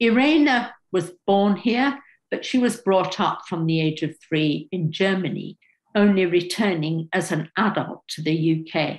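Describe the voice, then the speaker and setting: Her voice is fairly low in pitch and somewhat breathy. The woman is heard over a quiet background. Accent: British. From England. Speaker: sociology professor. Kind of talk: seminar talk; lecture. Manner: halting. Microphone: webcam.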